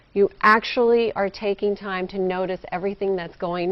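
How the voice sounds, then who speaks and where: A woman speaks at a moderate pace in an energetic tone, her pitch rising and falling in an ordinary way. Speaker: motivational speaker. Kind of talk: TV interview answer. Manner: energetic, engaging.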